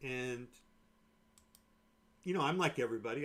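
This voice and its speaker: This man's voice sits at a medium pitch. His tone is calm. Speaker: day trader streaming live. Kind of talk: live trading commentary. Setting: live stream. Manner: calm, monotone.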